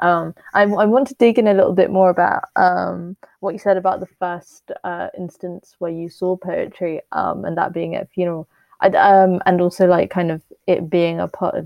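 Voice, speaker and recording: With fairly even intonation and a moderate pace, this is an ordinary speaking voice. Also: woman. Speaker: podcast host. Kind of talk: interview.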